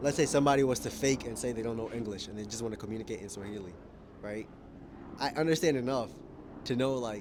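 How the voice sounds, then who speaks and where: A man with an American accent speaks very fast, at a medium pitch with ordinary pitch variation. His loudness swings a lot, and he leaves long, frequent pauses. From United States (moved from Kenya at age four). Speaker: vlogger. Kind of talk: personal vlog monologue. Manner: casual, self-correcting.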